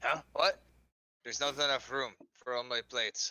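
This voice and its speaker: A man does a put-on character voice. He keeps a medium pitch and a moderate pace. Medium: actual play.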